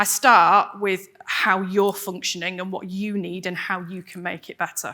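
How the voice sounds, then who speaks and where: In a very clean recording with a silent background, a woman with an English accent speaks at a medium pitch in a bright, sharp tone. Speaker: wellbeing coach and speaker. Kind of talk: presentation to audience. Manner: fast; animated.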